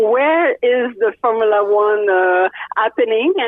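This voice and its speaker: This woman's fairly high voice carries lively intonation. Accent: French Canadian. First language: French. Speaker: race car driver and poker player. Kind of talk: interview. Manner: halting, many fillers; animated.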